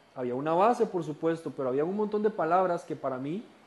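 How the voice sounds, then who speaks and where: The man's delivery moves at a fairly quick pace. Pitch rises and falls in an ordinary way. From Costa Rica. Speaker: Bible study teacher. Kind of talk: lecture.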